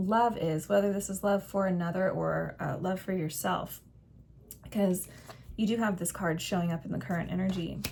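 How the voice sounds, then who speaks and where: A woman's somewhat breathy voice at medium pitch, with fairly even intonation and a moderate pace. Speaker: tarot reader. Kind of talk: tarot reading. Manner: conversational, warm.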